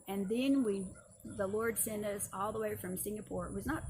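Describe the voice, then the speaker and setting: A woman speaks at a medium pitch. There is noticeable background noise and audible room echo. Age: 60s. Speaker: seminary instructor. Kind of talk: lecture. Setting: outdoors.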